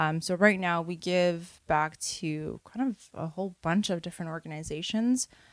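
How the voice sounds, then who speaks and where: With a Canadian accent and an ordinary speaking voice, a woman talks at a moderate pace with hardly any pauses, her fairly low pitch showing ordinary variation, in a dry, close sound with no echo on a very clean recording with a silent background. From Canada, Toronto (Parkdale). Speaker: head of operations at an apparel brand. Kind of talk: casual interview.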